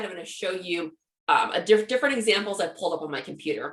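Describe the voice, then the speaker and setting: A woman speaks at a fairly high pitch with lively intonation. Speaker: social media marketing trainer. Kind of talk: webinar presentation. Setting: live webinar with chat. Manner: fast.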